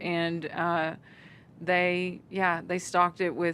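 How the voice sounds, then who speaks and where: This woman speaks with a Southern accent. Her pitch is fairly low. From Arkansas. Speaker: country singer. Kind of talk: interview answer.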